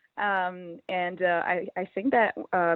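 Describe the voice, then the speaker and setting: A woman talks in a French accent. Her pitch sits in the medium range. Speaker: musician. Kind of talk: interview. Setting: phone call. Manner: hesitant, many fillers.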